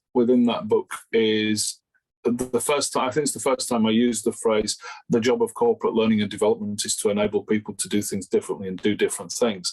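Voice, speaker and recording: A man speaks with a Yorkshire accent. His pace is very fast. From Yorkshire, northern England. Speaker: learning and development consultant, author. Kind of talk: interview. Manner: hesitant, repeats words.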